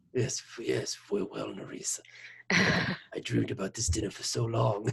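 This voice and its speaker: Soft-spoken, raspy and breathy, the put-on character voice moves at a moderate pace. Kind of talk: formal, courtly. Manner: overly romantic, soft.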